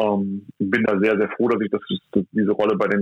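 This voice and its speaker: Talking at a fairly quick pace, a man with a fairly low pitch keeps a monotone, flat intonation. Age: 30s. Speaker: athletic trainer. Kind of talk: interview. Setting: phone call.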